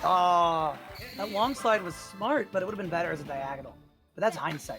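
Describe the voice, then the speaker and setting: A man's high-pitched voice, lively in intonation and fairly quick, with music in the background. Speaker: esports match commentator. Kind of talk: live tournament commentary.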